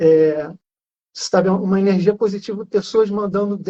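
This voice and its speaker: Speaking with a Rio de Janeiro accent, a man has a high pitch and a dark, mellow tone. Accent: carioca. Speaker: journalist with Parkinson's. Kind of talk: casual live interview. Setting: Instagram live.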